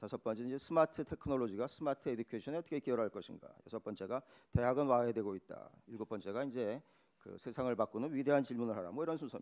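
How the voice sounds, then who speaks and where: At a very fast pace, a man speaks at medium pitch with ordinary pitch variation, the sound dry and close with no echo. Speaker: professor and keynote speaker. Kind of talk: conference keynote lecture. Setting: conference hall with audience.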